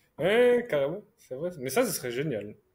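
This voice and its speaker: This is a man with a fairly high pitch and a plain, everyday voice. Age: 20s. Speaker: podcast co-host. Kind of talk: casual chat.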